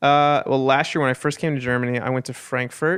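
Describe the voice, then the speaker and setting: A man with an American accent speaks at a medium pitch in a monotone, flat way. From United States. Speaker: singer. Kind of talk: radio interview. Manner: casual, filler-heavy.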